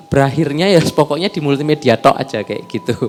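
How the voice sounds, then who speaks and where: A man's fairly high voice at a fairly quick pace, with music in the background. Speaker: multimedia content creator. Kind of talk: casual chat.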